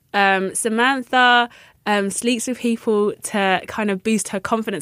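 A woman with a London accent, fairly high pitch and ordinary pitch variation, in a very clean recording with a silent background. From London, England. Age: 30s. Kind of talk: casual interview.

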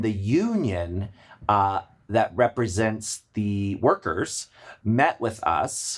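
A man with an American accent has an unremarkable speaking voice, fairly low in pitch with ordinary pitch variation. The recording is very clean, with a silent background. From Maryland, US. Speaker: drag performer and event producer. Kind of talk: casual chat.

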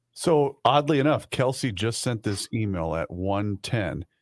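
The speaker uses a normal speaking voice with lively intonation. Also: man, dry, close sound with no echo. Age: 40s. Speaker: radio co-host. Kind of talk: casual chat.

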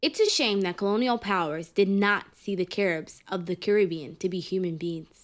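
Speaking at a moderate pace with hardly any pauses, this American-accented speaker has ordinary pitch variation and a normal speaking voice. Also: woman, medium pitch for a woman. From New York City, Harlem. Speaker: podcast host. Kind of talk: scripted narration.

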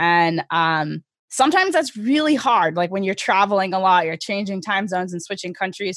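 A woman with an American accent has a normal speaking voice at a medium pitch. Her intonation is lively and her pace moderate. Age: 30s. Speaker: skeleton racer and soldier. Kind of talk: interview.

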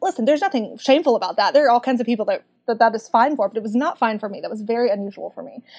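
A woman talks with a Southern US accent. Her fairly high voice has lively intonation. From Kentucky, US South. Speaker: book club community manager. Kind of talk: casual chat.

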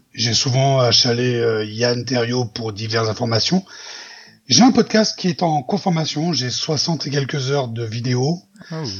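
The speaker talks at a very slow pace in a somewhat breathy voice with ordinary pitch variation. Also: man, medium pitch for a man. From southern France, near Marseille. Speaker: podcaster. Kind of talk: improvised storytelling; casual chat.

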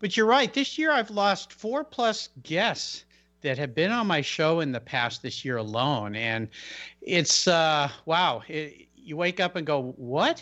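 With music in the background, a man of fairly high pitch speaks at a very slow pace with very wide pitch swings. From US Pacific Northwest. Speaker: podcast host. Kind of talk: radio interview.

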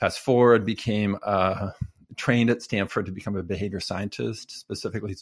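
A man's normal speaking voice with an American accent, fairly low in pitch at a moderate pace, on a very clean recording with a silent background. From California, Fresno. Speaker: behavior scientist and author. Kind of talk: interview conversation.

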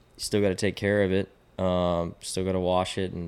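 Over a silent background in a very clean recording, a man with a very deep, low pitch talks at a moderate pace in a monotone, flat intonation. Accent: Texan. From Texas, Austin. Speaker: fly fishing guide. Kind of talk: casual chat.

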